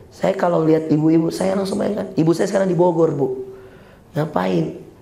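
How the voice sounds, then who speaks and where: Amid noticeable background noise and audible room echo, a man talks fairly quickly at a fairly high pitch with ordinary pitch variation. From Makassar, South Sulawesi, Indonesia. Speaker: Islamic preacher. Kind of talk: sermon. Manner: animated.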